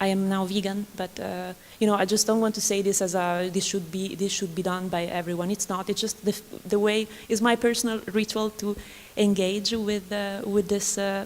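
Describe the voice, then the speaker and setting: The speaker talks at a moderate pace in an Italian accent, with monotone, flat intonation. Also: woman, medium pitch for a woman. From Italy. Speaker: artist or researcher on a symposium panel. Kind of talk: panel discussion. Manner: halting.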